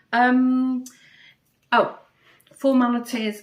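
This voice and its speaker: A woman speaks with a Manchester accent. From northern England, Manchester. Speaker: craft podcaster. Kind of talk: casual chat. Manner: hesitant, many fillers.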